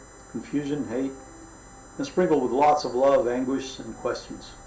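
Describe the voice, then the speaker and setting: With fairly even intonation and a medium pitch, a man speaks at a moderate pace as noticeable background noise carries on. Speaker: author. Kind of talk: audiobook reading.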